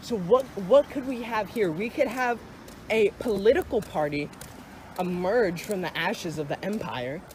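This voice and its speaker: Speech at a moderate pace amid noticeable background noise. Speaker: YouTuber discussing movies. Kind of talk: casual monologue. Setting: outdoors. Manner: halting, self-correcting.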